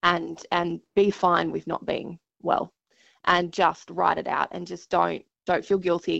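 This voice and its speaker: Fairly slow speech from a woman with an Australian accent. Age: 30s. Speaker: TV news presenter and patient advocate. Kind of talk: interview.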